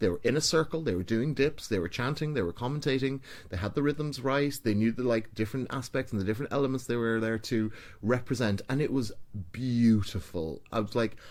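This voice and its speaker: A man with an Irish accent talks at a fairly quick pace and a medium pitch. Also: ordinary pitch variation. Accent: some Irish. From Ireland, small town. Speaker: ballroom and vogue DJ and performer. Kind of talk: podcast interview. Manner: casual, chatty.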